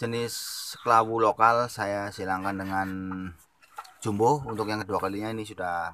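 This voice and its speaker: A normal speaking voice from a man, fairly low in pitch and fairly quick, dry with no echo, over light background noise. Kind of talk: casual vlog chat. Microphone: phone near.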